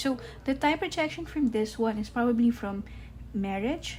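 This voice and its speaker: With a non-native accent, a woman is talking. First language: not English. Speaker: tarot reader. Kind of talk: tarot reading to camera.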